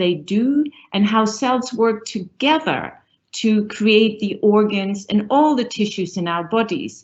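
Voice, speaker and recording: Her voice somewhat breathy and fairly high, a woman talks at a fairly slow pace with ordinary pitch variation. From northern Germany. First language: German. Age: middle-aged. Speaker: professor, university dean. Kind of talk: panel discussion.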